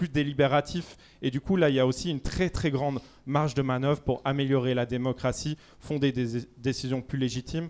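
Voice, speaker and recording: A man with a slight Swiss accent, medium pitch, fairly even intonation and a fairly quick pace. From Switzerland. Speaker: debate panelist. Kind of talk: public debate.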